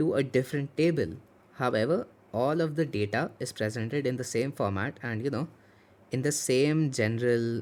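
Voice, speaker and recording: His pitch rises and falls in an ordinary way. The speaker is a man. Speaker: student tutor. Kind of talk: tutorial. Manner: fast.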